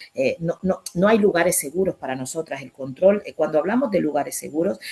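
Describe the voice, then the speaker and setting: A woman's very deep, low voice with lively intonation and a fairly quick pace. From Colombia, Caribbean islands (raizal). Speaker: writer and activist speaker. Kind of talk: online talk Q&A.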